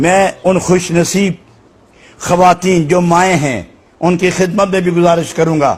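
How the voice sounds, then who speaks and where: His voice is high-pitched for a man, with monotone, flat intonation and very even loudness. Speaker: religious scholar. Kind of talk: Islamic sermon (bayan) to a live audience. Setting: mosque or hall with live audience. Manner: passionate, emotive, oratorical.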